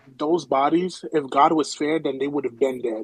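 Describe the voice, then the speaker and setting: Man at fairly high pitch and moderate pace, with noticeable background noise. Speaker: caller. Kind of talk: casual call-in chat. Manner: halting, stuttering.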